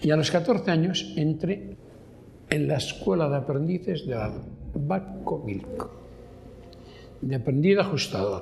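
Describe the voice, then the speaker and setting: At a fairly slow pace, a man speaks with very wide pitch swings and long, frequent pauses. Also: fairly high pitch for a man. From Basque Country, Abasolo. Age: 80s+. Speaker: retired shipyard worker. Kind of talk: documentary testimony.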